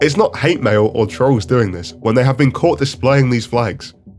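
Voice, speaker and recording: Over music in the background, a man talks at a medium pitch and a fairly quick pace. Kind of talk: opinion commentary video. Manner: animated.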